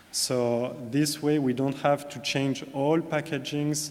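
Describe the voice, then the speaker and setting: A man with a French accent speaks at a very slow pace with fairly even intonation. Noticeable background noise and audible room echo fill the recording. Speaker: corporate sustainability manager. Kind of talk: conference presentation. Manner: hesitant, many fillers.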